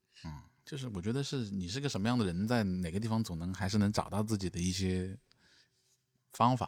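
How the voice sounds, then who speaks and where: A man with a Changsha accent speaks at a fairly quick pace and a fairly low pitch, with ordinary pitch variation. He leaves long, frequent pauses, and the recording is very clean with a silent background. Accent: Changsha-accented Mandarin. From Changsha, Hunan. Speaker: stand-up comedian and vlogger. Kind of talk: casual chat. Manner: stammering repetitions.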